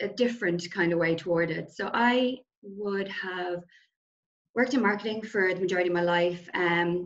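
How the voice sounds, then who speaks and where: A woman with an Irish accent speaks with ordinary pitch variation. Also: medium pitch for a woman, moderate pace. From Ireland. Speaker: nutrition coach. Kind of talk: casual interview.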